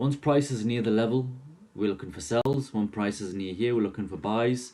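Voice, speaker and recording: With a dark, mellow tone and fairly low pitch, a man talks using ordinary pitch variation. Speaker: forex trading teacher. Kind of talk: tutorial. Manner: fast; casual and repetitive.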